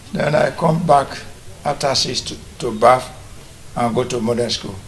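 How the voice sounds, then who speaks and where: A man speaks at medium pitch and a moderate pace. His pitch variation is ordinary, with noticeable background noise. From Nigeria, Benin City, Edo State. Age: 80s+. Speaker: retired teacher, military officer and businessman. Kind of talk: TV interview. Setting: his family house.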